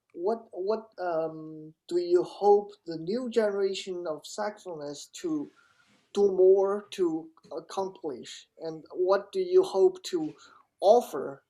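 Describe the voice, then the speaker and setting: Speaking at a very slow pace, the woman has a dark, mellow tone and big swings in loudness. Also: medium pitch for a woman, ordinary pitch variation. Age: 20s. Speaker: music student interviewer. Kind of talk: interview. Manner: halting.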